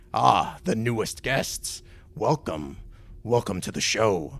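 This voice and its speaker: Using a put-on character voice, a man of medium pitch swings his pitch very widely while talking at a fairly slow pace. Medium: actual play. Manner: theatrical, smug showman.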